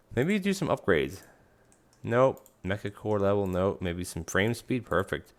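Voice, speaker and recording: Mumbling from a man at a fairly low pitch, on a very clean recording with a silent background. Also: ordinary pitch variation, moderate pace. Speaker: gaming youtuber. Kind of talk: let's play commentary. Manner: mumbly; halting, casual.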